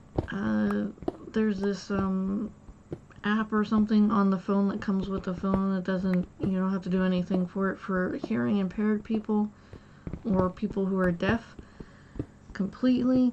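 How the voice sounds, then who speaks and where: The speech moves at a moderate pace with fairly even intonation and long, frequent pauses. Background noise is noticeable. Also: woman, medium pitch for a woman. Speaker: gaming streamer. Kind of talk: casual chat. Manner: monotone; halting.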